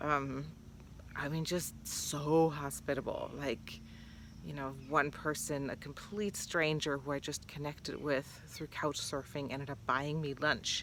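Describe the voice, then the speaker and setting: Very deep and low in pitch, a woman's voice carries vocal fry. She talks at a fairly slow pace with fairly even intonation. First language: not English. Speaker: vlogger. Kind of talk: casual vlog monologue. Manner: hesitant, many fillers.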